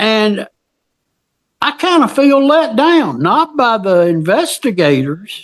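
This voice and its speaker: A man with a Southern US accent speaks at a very slow pace in a high voice, with very wide pitch swings and very even loudness. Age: 70s. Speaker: witness to an old crime scene. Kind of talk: casual conversation. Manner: halting.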